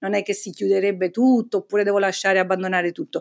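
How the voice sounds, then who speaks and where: Over a silent background on a very clean recording, a woman talks at a medium pitch. Hers is a plain, everyday voice with fairly even intonation. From Naples, Italy. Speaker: hydrogeologist and professor. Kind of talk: interview.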